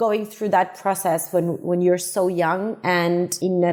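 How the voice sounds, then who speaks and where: A woman with a Spanish accent at a moderate pace, medium in pitch and fairly even in intonation, with music in the background. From Uruguay, then Barcelona from age 14. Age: 30s. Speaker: tech startup co-founder. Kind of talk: podcast interview. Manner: hesitant repetitions.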